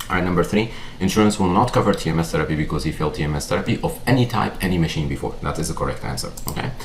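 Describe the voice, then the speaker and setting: Very fast talk from a man with a very deep, low pitch, lively intonation and hardly any pauses, plus noticeable background noise and audible room echo. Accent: non-native. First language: not English. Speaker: psychiatrist. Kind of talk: lecture. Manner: conversational, with frequent fillers.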